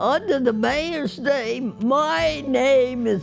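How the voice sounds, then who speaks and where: Music plays in the background as a woman speaks with an American accent. Her pitch is high and her intonation lively. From US Northeast. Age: 80s+. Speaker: centenarian interviewee, retired secretary and volunteer. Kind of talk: interview. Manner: halting.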